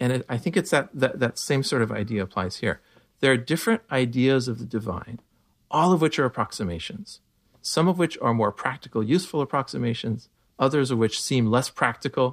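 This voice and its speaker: In a very clean recording with a silent background, a man with an American accent speaks at a medium pitch with lively intonation. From US Pacific Northwest, eastern Washington. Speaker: philosopher and physicist. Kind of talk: casual interview chat. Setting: sitting in a room, in person.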